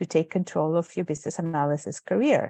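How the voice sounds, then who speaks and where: Against a quiet background, a woman with a Spanish accent talks at a fairly quick pace in a dark, mellow tone, the sound dry and close with no echo. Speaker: webinar moderator. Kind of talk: webinar hosting. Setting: video call.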